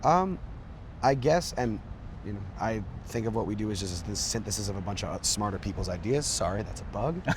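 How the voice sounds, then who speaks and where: Amid audible room echo, a man speaks at a fairly quick pace and fairly low pitch, somewhat breathy, with lively intonation. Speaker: lead singer of a band. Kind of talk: interview. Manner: filler-heavy, many likes and ums.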